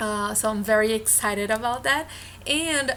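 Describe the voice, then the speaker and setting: A woman speaks with a Brazilian Portuguese accent in a bright, sharp tone at a fairly high pitch. Her pace is fairly slow, with ordinary pitch variation. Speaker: vlogger, former au pair. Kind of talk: casual vlog talk. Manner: halting, with filler sounds.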